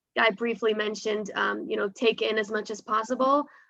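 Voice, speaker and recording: This woman has an American accent. Her pace is fairly quick. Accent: sounds American. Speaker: startup sales professional. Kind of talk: webinar panel talk.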